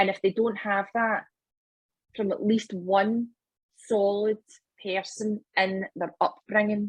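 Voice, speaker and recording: A woman in a Scottish accent at a very slow pace, medium-pitched and somewhat breathy, her intonation monotone and flat, with long, frequent pauses and a dry, close sound with no echo. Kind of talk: casual podcast conversation.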